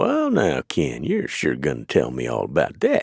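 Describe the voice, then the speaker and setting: Doing a put-on character voice, a man drawls in a Texan accent at a moderate pace. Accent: Texan, folksy ungrammatical speech. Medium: read story. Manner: lazy drawl, cool and careless.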